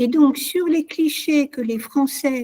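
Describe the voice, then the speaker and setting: Speaking at a fairly slow pace, a woman has a high pitch and ordinary pitch variation. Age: 60s. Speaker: guest speaker on culture. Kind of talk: online discussion session.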